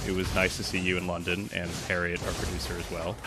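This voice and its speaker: A man with an American accent speaks with a very deep, low pitch. Music plays in the background. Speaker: journalist. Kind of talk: casual chat.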